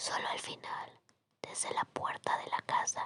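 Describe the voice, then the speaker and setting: A woman whispers at a fairly slow pace. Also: dry, close sound with no echo. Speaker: ASMR storyteller. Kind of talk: ASMR sleep story. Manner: whispered, soft-spoken.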